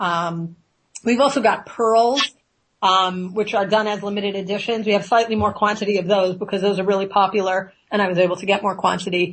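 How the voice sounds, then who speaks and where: A woman speaks at a fairly quick pace in a medium pitch. Her tone is energetic. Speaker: ear seed designer and business owner. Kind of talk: interview. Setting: radio studio. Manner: fast.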